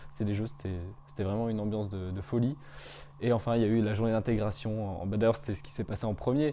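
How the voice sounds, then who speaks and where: Very fast, fairly low-pitched speech from a man, dark and mellow in tone, with ordinary pitch variation and light background noise. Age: 20s. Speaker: business school student. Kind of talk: interview testimony. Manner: hesitant, many fillers. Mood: upbeat, friendly. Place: home room. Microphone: lapel.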